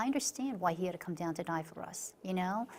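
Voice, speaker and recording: A woman speaks in an American accent. Her pitch is medium. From Long Island, New York. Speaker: author. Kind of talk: interview. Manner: halting, many fillers and restarts.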